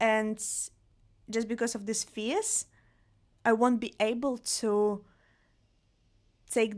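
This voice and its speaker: A woman with a non-native accent talks at a very slow pace. Her voice is fairly high, and her intonation stays fairly even. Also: very clean recording, silent background. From Russia, Vladivostok. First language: Russian. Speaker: podcast host. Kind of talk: solo podcast monologue. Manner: casual, conversational.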